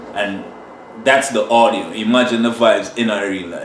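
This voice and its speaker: A man with an American accent speaks at a fairly slow pace in a medium pitch. Noticeable background noise and audible room echo surround him. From Trinidad. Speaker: sound system selector. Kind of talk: casual interview. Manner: animated.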